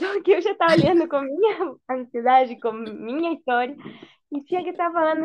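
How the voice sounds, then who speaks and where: With a Spanish accent, a woman speaks at a moderate pace using lively intonation. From Argentina, Buenos Aires. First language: Spanish (speaking Portuguese). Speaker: mother sharing birth story. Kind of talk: personal testimony in casual interview.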